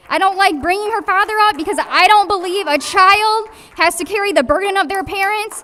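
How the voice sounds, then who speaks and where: Against noticeable background noise, a woman speaks fairly quickly in an extremely high pitch with ordinary pitch variation. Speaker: public commenter at city council meeting. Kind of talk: public comment. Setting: city council meeting. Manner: fast.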